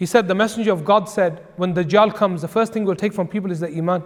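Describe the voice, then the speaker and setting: Here a man with an English accent talks at a very fast pace in a high pitch. His intonation is fairly even. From England. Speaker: Islamic scholar. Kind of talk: religious lecture. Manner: conversational.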